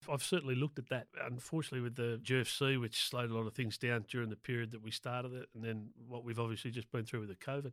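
In an Australian accent, a man rushes along at a very fast pace with hardly any pauses and fairly even intonation, the sound dry and close with no echo. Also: medium pitch for a man. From Sydney, Australia (North Shore). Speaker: small business owner. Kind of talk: interview.

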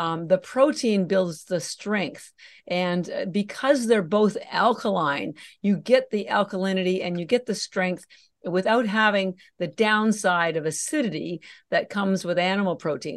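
The speaker has an ordinary speaking voice with ordinary pitch variation and a fairly slow pace. The background is quiet. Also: woman, medium pitch for a woman. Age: 60s. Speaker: algae nutrition company founder. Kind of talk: interview.

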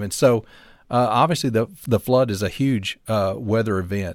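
Heard over a silent background in a very clean recording, the speaker talks with a Southern US accent. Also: man. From US South, North Alabama. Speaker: meteorologist. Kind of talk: casual chat.

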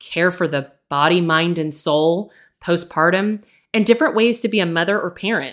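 Speaking at a moderate pace, a woman with a fairly low pitch, ordinary pitch variation and a plain, everyday voice is heard. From Texas. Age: 40s. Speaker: podcast host, nurse and educator. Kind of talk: casual monologue.

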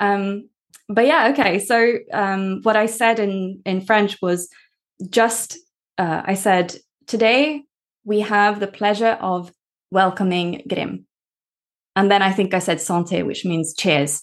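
A woman with a Norwegian accent speaks at a very slow pace with long, frequent pauses, her medium pitch showing ordinary variation. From Norway. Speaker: language coach and podcast host. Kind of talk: casual interview chat.

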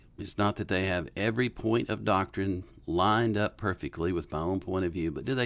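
A man with a Southern US accent talks at a moderate pace in a fairly low pitch with ordinary pitch variation, in a very clean recording with a silent background. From US South, western North Carolina. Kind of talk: casual Q&A interview.

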